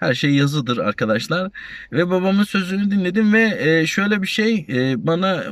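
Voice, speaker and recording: A man's pitch swings very widely while he talks at a fairly slow pace. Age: 40s. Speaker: YouTuber, retiree, warehouse supervisor. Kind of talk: casual vlog talk. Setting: outdoors at a university campus. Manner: halting, many fillers.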